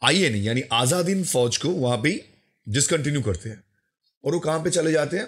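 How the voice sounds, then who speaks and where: A man's fairly high-pitched voice with vocal fry and very wide pitch swings, on a very clean recording with a silent background. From West Bengal, India. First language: Bengali (speaking Hindi). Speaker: YouTuber, history commentator. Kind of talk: commentary video, rebuttal.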